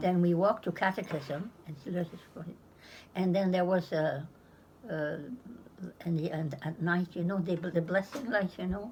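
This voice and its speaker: This woman's voice is fairly low in pitch and somewhat breathy. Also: ordinary pitch variation, moderate pace. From Pomquet, Nova Scotia. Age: 90s. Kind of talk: interview answer.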